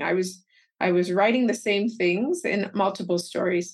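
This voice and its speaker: A woman speaks at a moderate pace in a medium pitch, with a Canadian accent. She has an unremarkable speaking voice and fairly even intonation. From Canada, Calgary, Alberta. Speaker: teacher and author. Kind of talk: interview.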